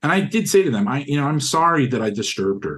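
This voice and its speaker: This voice, with an American accent, carries lively intonation. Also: man. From United States. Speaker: philosophy student. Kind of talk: interview testimony. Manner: halting.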